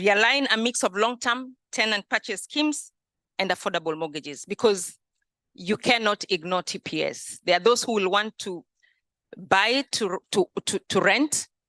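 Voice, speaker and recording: A woman speaks with lively intonation and a bright, sharp tone. The sound is dry and close with no echo, over a quiet background. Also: medium pitch for a woman, moderate pace. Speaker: mortgage industry executive. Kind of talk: conference presentation. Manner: halting, with fillers and repetitions.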